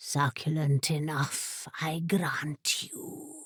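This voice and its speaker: A woman's growling, put-on character voice, very deep and low in pitch, at a very slow pace. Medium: read story. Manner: haughty, terse.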